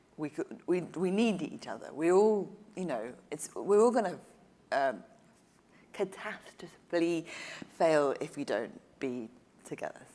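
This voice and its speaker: A woman with a dark, mellow tone and fairly low pitch speaks fairly slowly, swinging her pitch very widely and leaving long, frequent pauses. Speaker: journalist and author. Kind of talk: panel conversation.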